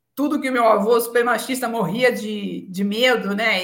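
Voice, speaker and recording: Moderate pace and ordinary pitch variation from a woman with a fairly high voice. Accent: São Paulo. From São Paulo city, Brazil. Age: 40s. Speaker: telecom executive. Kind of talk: interview conversation.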